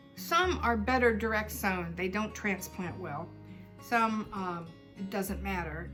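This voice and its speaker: A woman speaks with an American accent. Music plays in the background. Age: old. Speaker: homesteader. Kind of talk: casual talk to camera.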